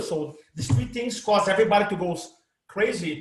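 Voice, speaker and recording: A man speaks with a Brazilian accent at a moderate pace. His pitch variation is ordinary. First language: Portuguese. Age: 50s. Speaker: presentation coach. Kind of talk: interview. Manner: animated.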